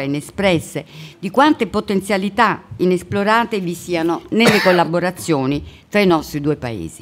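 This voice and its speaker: With lively intonation and a moderate pace, this voice comes across as a normal speaking voice. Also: woman. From Italy. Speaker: diplomat. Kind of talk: welcome speech. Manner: formal.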